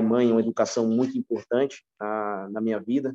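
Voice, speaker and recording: The speech comes at a fairly quick pace with fairly even intonation, and the sound is dry and close with no echo. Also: man. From São Paulo, Brazil (until 14), then Recife. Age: 30s. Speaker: retail store manager. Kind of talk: podcast interview. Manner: halting, many repetitions.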